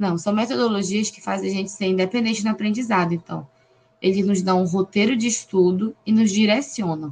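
Somewhat breathy and fairly quick, a woman speaks in a medium pitch with ordinary pitch variation. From Brazil, Pará. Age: 20s. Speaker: occupational therapy student. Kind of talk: casual interview.

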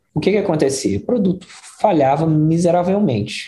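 The man's tone is dark and mellow, and somewhat breathy. He speaks with lively intonation. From Belo Horizonte, Brazil. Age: 40s. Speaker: product design manager. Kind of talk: interview conversation.

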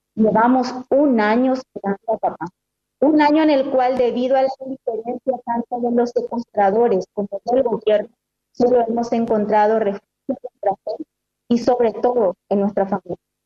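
A woman's high-pitched voice with fairly even intonation, in a dry, close sound with no echo. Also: moderate pace. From Paraguay. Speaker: daughter of a kidnapping victim. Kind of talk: public statement. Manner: formal.

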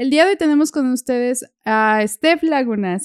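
Recorded dry and close with no echo, a woman with a Mexican accent talks at a moderate pace with lively intonation. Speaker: podcast host. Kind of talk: casual chat. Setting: video call.

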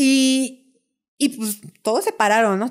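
On a very clean recording, silent in the background, there is a woman's voice. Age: 30s. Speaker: architect and dancer. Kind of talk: storytelling interview.

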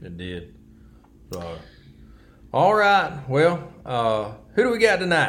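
A man with an American accent at a fairly high pitch, very slow pace and long, frequent pauses, with very wide pitch swings and big swings in loudness. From US South (Alabama, Wiregrass). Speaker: podcast co-host. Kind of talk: casual chat. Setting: studio.

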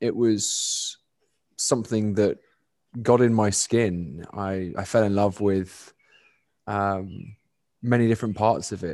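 Against a quiet background, a man with a London accent speaks at a very slow pace, his pitch fairly low and his intonation fairly even. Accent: southern English (London). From London, England. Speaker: cricketer and nonprofit founder. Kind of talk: podcast interview.

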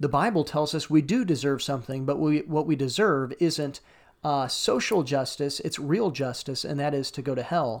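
In an American accent, a man talks at a moderate pace with a fairly high pitch and ordinary pitch variation. The recording is very clean, with a silent background. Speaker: pastor and podcast host. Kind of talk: casual interview chat.

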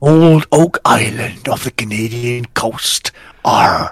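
Using a put-on character voice, a man talks very slowly at a medium pitch. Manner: playful.

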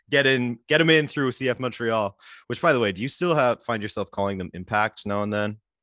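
A man speaks at a fairly quick pace and medium pitch, with ordinary pitch variation and a bright, sharp tone. The recording is very clean with a silent background, and the sound is dry and close with no echo. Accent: Western Canadian. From Western Canada, British Columbia. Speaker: YouTube soccer creator. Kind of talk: casual chat.

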